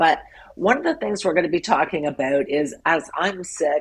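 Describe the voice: A woman does a raspy, put-on character voice at a medium pitch and moderate pace.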